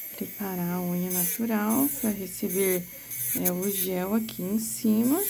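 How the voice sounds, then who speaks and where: With audible room echo, a woman of medium pitch speaks at a fairly slow pace with ordinary pitch variation. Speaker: nail technician instructor. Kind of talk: tutorial. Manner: soft-spoken.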